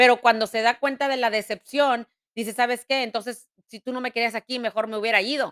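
Her voice is fairly high, with a bright, sharp tone, and the woman speaks at a moderate pace. The sound is dry and close with no echo. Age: 40s. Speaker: podcast host. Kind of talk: casual chat; motivational talk. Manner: halting.

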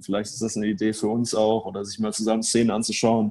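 A man's very fast, monotone, flat delivery with a dark, mellow tone over a quiet background. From northern Germany, near Hamburg. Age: 20s. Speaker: football match analyst. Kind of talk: podcast interview.

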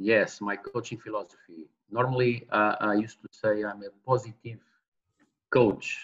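A man speaks with a Portuguese accent. His pace is fairly slow. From Portugal. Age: 40s. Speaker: football manager. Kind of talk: interview. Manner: halting.

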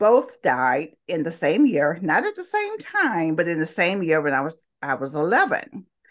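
With a Southern US accent, a woman talks in a fairly low pitch. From US South, Talladega, Alabama. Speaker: interview guest. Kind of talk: interview.

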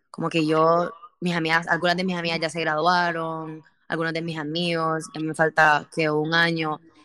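Her voice has a bright, sharp tone and a fairly low pitch. The woman keeps a monotone, flat intonation at a moderate pace. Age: 20s. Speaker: podcast host. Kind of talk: casual chat.

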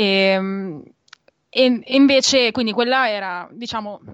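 A woman speaks at a fairly high pitch with ordinary pitch variation against a quiet background. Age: 20s. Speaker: graduate student and community volunteer. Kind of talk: radio interview. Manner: hesitant, many fillers.

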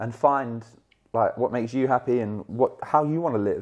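A man talks in a southern English accent. His pace is fairly quick. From southern England, Hertfordshire. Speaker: football brand ambassador. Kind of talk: casual interview.

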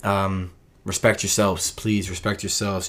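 Monotone, flat intonation and fairly low pitch mark this man's speech in a very clean recording with a silent background. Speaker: podcast host. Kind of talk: casual solo monologue. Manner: stutters, repeats words.

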